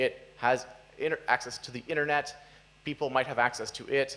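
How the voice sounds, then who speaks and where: A man talks at a fairly quick pace. His intonation stays monotone and flat. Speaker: software developer giving conference talk; conference speaker. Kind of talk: conference talk. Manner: fast. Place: hall.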